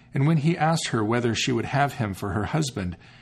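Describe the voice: Someone reads aloud in a plain way. Their intonation rises and falls in a lively way.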